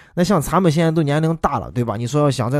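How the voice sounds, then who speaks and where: With a Shaanxi accent, a man speaks in an animated tone with lively intonation. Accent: Shaanxi-accented Mandarin. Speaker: podcast host and voice dubber. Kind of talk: casual monologue.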